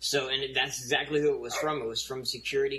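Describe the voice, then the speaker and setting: A man rushes along at a very fast pace while noticeable background noise carries on. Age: 40s. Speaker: drone industry marketing representative. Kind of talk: casual interview chat. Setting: remote call.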